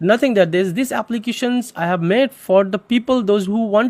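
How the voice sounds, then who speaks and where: The speaker has a non-native accent and moves at a moderate pace with ordinary pitch variation. The sound is dry and close, with no echo. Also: man. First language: not English. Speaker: photo editing software developer and tutor. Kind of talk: software tutorial. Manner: halting, with frequent fillers.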